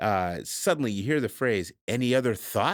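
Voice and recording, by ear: Someone is reading aloud in a natural voice with lively intonation, the background quiet.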